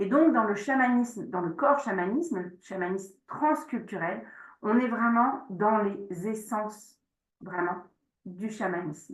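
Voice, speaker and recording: A woman's somewhat breathy, fairly high voice at a fairly slow pace, with audible room echo. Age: 40s. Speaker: shamanic practice teacher. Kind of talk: online workshop presentation with Q&A. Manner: hesitant, many fillers.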